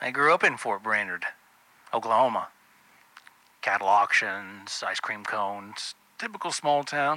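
The man's intonation is lively, and the sound is dry and close with no echo. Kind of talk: scripted true-crime narration, a staged killer monologue. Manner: sly, sardonic, with small sighs and laughs.

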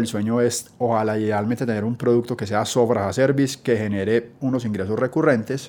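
Fairly even in intonation, a man speaks at medium pitch with a dark, mellow tone. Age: 30s. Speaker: startup founder and CEO. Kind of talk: interview storytelling.

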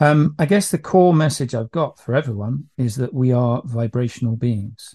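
With a British accent, a man speaks at a moderate pace and medium pitch, his tone dark and mellow and somewhat breathy, in a dry, close recording with no echo and a quiet background. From UK. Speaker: business owner selling EMF protection product. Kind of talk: podcast interview. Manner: hesitant, many fillers.

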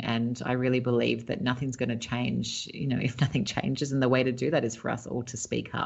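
Speaking at a very fast pace, a woman uses a very deep, low pitch. Her intonation stays fairly even. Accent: Australian. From Australia, Sydney. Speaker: entrepreneur and author. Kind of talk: interview. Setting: remote call.

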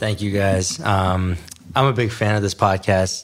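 With an American accent, a man talks fairly slowly in an unremarkable speaking voice, fairly low in pitch and fairly even in intonation. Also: very clean recording, silent background. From New York City and New Jersey. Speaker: plastic surgeon. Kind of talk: interview.

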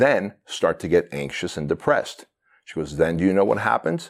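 On a very clean recording with a silent background, the delivery runs at a fairly quick pace. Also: man. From immigrant to the US, fled communism as a child. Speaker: entrepreneur and business coach. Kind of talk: podcast interview. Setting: in person, same room as host.

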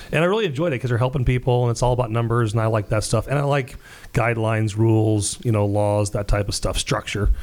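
Energetic in tone, a man with a medium pitch talks at a very fast pace, with ordinary pitch variation and very even loudness. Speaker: mortgage specialist. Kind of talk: casual interview.

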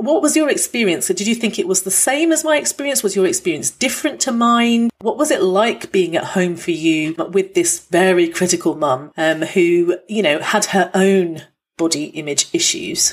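Barely pausing, a woman with a British accent talks at a moderate pace in a medium pitch that swings very widely. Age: 40s. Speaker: doctor and podcast host. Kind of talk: casual chat.

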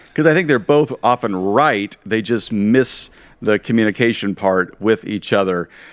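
On a very clean recording with a silent background, a man with a normal speaking voice holds a moderate pace at medium pitch, with ordinary pitch variation. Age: 50s. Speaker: pastor and podcast host. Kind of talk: casual interview chat.

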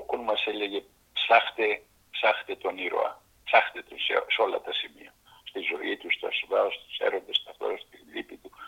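A man's extremely high-pitched voice at a fairly slow pace, with ordinary pitch variation and big swings in loudness. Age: 80s+. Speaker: actor. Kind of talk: interview.

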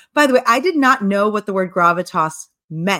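A woman speaking at a fairly quick pace, in a dry, close sound with no echo. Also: very clean recording, silent background. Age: 40s. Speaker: author and public speaker. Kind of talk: interview.

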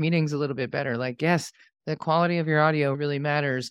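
Speaking very fast with an American accent, a woman has a very deep, low voice with fairly even intonation. The background is quiet. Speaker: podcast expert and consultant. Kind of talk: casual interview chat. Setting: video call.

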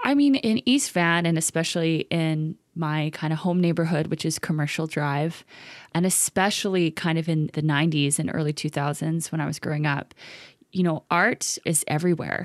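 A woman speaks in a fairly low pitch at a moderate pace. Her intonation is fairly even, and the sound is dry and close with no echo. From Vancouver, Canada (born in Los Angeles). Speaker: playwright. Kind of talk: interview. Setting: video call.

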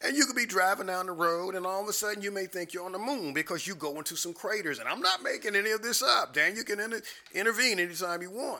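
A man talks at a very fast pace in a raised, projected voice with a bright, sharp tone. His pitch is high, with ordinary pitch variation. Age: 60s. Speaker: pastor. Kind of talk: casual chat.

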